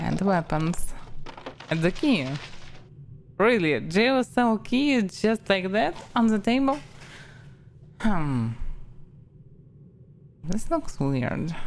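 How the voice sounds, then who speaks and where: A woman with a Russian accent speaks at a very slow pace, with long, frequent pauses. Her medium-pitched voice swings very widely in pitch. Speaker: streamer. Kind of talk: casual gameplay commentary.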